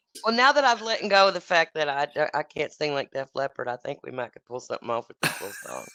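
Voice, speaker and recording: A woman with an American accent, very fast, with big swings in loudness and a dry, close sound with no echo. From Texas. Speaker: singer-songwriter. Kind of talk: casual chat.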